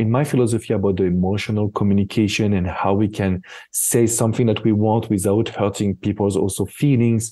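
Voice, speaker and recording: A man with a French accent speaks at a fairly low pitch in a dark, mellow tone, with ordinary pitch variation. His loudness stays very even over a quiet background. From France. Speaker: relationship expert. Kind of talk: interview conversation.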